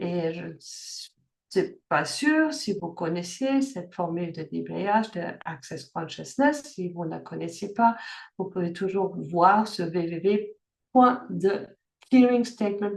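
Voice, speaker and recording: The voice moves at a very slow pace with lively intonation and big swings in loudness. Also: woman, medium pitch for a woman. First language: German (speaking French). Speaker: life coach. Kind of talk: online workshop talk. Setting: video call. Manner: halting, many fillers and restarts.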